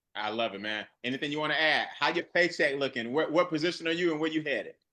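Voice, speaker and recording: At a very fast pace, a man speaks with a bright, sharp, animated tone, fairly high in pitch and with ordinary pitch variation. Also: quiet background. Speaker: network marketing presenter. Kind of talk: live webinar presentation.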